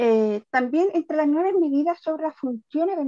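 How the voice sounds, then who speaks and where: A woman's dark, mellow voice at a moderate pace, with ordinary pitch variation and a dry, close sound with no echo. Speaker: deaf special education teacher. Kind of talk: webinar presentation. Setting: online webinar.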